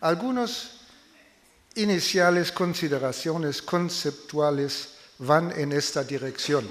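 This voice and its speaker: In a non-native accent, a man speaks at a very slow pace with fairly high pitch and ordinary pitch variation, amid audible room echo. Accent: foreign (non-native Spanish). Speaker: political science professor. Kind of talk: lecture read aloud. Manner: halting.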